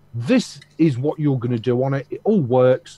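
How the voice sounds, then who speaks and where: Somewhat breathy, a man's voice has a dark, mellow tone. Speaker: video chat participant. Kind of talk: casual chat. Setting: video call.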